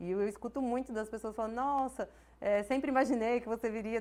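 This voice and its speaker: The speaker uses a plain, everyday voice at a fairly quick pace. The intonation stays fairly even. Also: woman. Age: 30s. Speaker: business owner; guest. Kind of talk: interview. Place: studio. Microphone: lapel.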